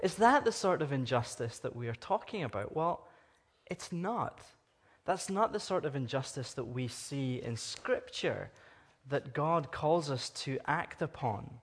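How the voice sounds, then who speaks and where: This fairly high-pitched man with a Scottish accent speaks fairly slowly and somewhat breathily, his pitch swinging very widely. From Scotland. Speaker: guest preacher from anti-trafficking charity. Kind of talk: sermon. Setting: church service with congregation.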